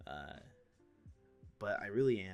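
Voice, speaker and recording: With music in the background, a man speaks at a moderate pace in a very deep, low pitch. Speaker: gaming YouTuber and streamer. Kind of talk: gameplay commentary. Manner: subdued, not enthusiastic; halting, many repeats.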